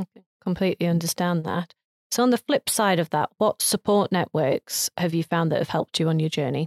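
A woman's normal speaking voice at a fairly quick pace, with very even loudness, ordinary pitch variation, and a dry, close sound with no echo. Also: fairly low pitch for a woman. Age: 40s. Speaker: entrepreneur acting as interviewer. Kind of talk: interview.

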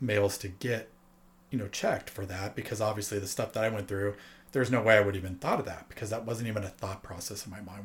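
This man's fairly low voice is somewhat breathy, and his intonation stays fairly even. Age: 40s. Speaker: guest sharing personal health experience. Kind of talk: casual chat.

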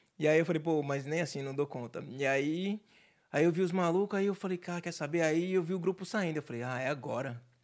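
A man's ordinary speaking voice, fairly high in pitch with ordinary pitch variation, at a fairly quick pace in a very clean recording with a silent background. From Santos, São Paulo state, Brazil. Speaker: entrepreneur. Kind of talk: casual chat.

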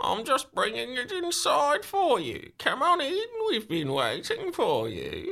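An extremely high, put-on character voice delivers the lines at a fairly slow pace. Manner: sinister, welcoming.

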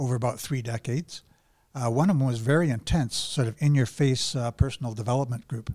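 With a Canadian accent, a man speaks at a fairly quick pace in a medium pitch with ordinary pitch variation and a somewhat breathy voice, on a very clean recording with a silent background. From Alberta, Canada. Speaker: men's support group organizer. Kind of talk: casual interview. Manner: halting.

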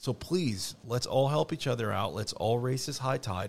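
This man has a medium-pitched voice with vocal fry. He talks at a moderate pace with ordinary pitch variation. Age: 30s. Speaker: refinishing business owner. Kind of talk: casual chat. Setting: studio.

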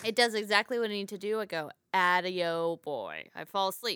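With an American accent, the voice carries a bright, sharp tone and ordinary pitch variation, dry and close with no echo on a very clean recording with a silent background. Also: woman. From Texas, later Florida. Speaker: stand-up comedian and podcast host. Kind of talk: casual chat.

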